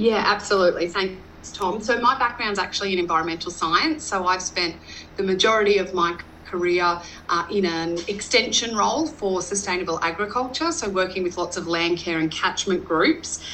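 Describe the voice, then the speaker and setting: Moderate pace and ordinary pitch variation from a woman with a medium pitch, in an Australian accent. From Western Queensland, Australia. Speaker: rural entrepreneur and business consultant. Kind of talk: interview.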